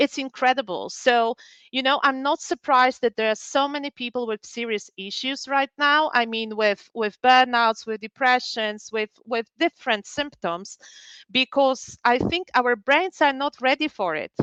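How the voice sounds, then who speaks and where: A woman's high-pitched voice with a bright, sharp tone and ordinary pitch variation, at a moderate pace, in a dry, close sound with no echo and a quiet background. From Poland. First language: Polish. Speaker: psychologist. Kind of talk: webinar talk.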